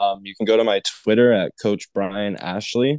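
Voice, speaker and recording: A man's plain, everyday voice, fairly low in pitch with ordinary pitch variation, at a fairly slow pace in a dry, close sound with no echo against a quiet background. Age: 20s. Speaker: special teams coach, former college kicker. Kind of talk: casual interview chat.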